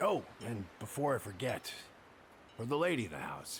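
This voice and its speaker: A raspy, put-on character voice swings very widely in pitch at a moderate pace. Clear background noise is audible. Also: man, medium pitch for a man. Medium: video game. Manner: hesitant, filler-heavy.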